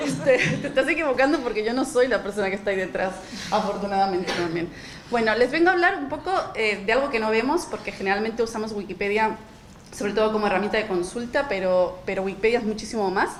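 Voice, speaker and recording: Speaking very fast at a fairly high pitch, a woman is heard with audible room echo and noticeable background noise. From Spain. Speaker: nonprofit director, panel speaker. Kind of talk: panel presentation.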